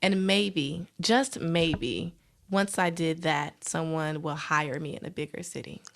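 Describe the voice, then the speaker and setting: Speaking very slowly with a Southern US accent, a woman at a fairly low pitch shows ordinary pitch variation and big swings in loudness. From US South, rural South Carolina. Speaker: TV news reporter. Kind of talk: casual podcast interview. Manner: animated.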